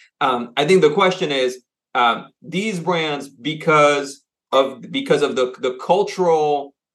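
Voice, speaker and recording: A man speaks in a French accent. His voice is fairly high, with lively intonation. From France, grew up moving between Asia and the US. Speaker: consultancy CEO. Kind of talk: interview. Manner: halting, many fillers and repeats.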